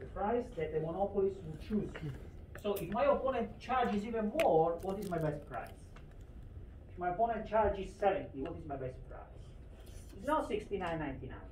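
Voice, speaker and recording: Fairly quick speech broken by long, frequent pauses, with noticeable background noise. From Italy. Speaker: economics lecturer. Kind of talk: lecture.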